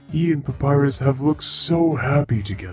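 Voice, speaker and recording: A man speaks in a put-on character voice. Faint music plays in the background. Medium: dub. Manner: soft-spoken, melancholy.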